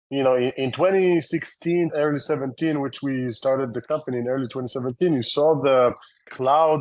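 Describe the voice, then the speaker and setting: In an Israeli accent, a man speaks at a fairly quick pace and medium pitch. His pitch varies in an ordinary way against a quiet background. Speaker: tech company founder and CEO. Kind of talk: interview. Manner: casual, many fillers.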